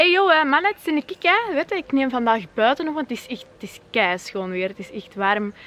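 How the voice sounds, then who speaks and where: A woman with a West Flemish accent speaks high and fairly quickly in an animated tone, with hardly any pauses. Her pitch swings very widely and her loudness shifts a lot over noticeable background noise. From West Flanders, Kortrijk. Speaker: YouTuber. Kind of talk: vlog rant. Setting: outdoors.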